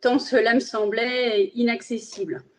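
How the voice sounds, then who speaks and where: A woman talks in a fairly high voice. She has a Spanish accent. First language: Spanish (speaking French). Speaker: magistrate. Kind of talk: interview.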